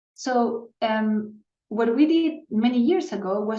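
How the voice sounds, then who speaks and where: With a Spanish accent, a woman speaks with ordinary pitch variation. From Chile. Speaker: neuroscientist. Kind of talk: interview. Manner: halting, many repetitions and fillers.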